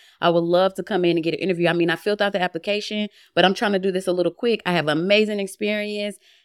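Speech with an American accent comes at a very fast pace in an animated tone. The recording is very clean with a silent background, and the sound is dry and close with no echo. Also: woman, medium pitch for a woman. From Atlanta, Georgia, with Philadelphia roots. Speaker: private chef and TV cook. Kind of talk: casual chat.

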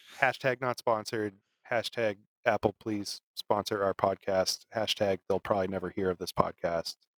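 At a moderate pace, a man with a plain, everyday voice and fairly low pitch speaks with fairly even intonation in a dry, close sound with no echo. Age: 30s. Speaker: podcast co-host. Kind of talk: casual chat.

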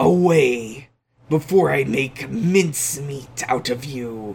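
At a very slow pace, a put-on character voice holds a low-to-middle pitch. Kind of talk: theatrical. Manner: menacing.

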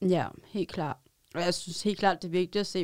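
A woman talks at a moderate pace in a fairly low, monotone voice with flat intonation. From Denmark, Roskilde. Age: 30s. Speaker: street newspaper vendor, former psychiatric patient. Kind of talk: studio interview, personal testimony. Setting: studio.

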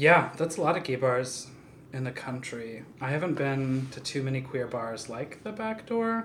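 The voice is soft-spoken, heard over noticeable background noise. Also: moderate pace. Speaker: photographer. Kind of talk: casual chat.

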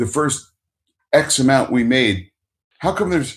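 The recording is very clean, with a silent background. A man speaks at a moderate pace in a fairly high, somewhat breathy voice. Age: 50s. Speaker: podcast host. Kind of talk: casual chat.

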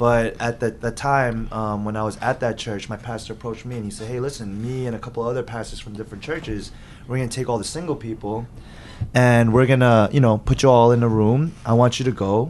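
At a fairly quick pace, a man talks with fairly even intonation at a medium pitch. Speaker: podcast guest. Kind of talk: casual chat. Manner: loud.

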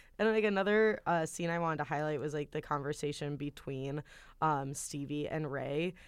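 On a very clean recording with a silent background, a woman speaks at a fairly quick pace. Her pitch is very deep and low, with ordinary pitch variation. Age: 20s. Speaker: film podcast guest. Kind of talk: casual chat.

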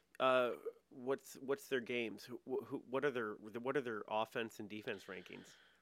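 A man speaks at a moderate pace in a normal speaking voice, his pitch sitting in the medium range. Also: ordinary pitch variation. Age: 30s. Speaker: improv comedian. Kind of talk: casual chat.

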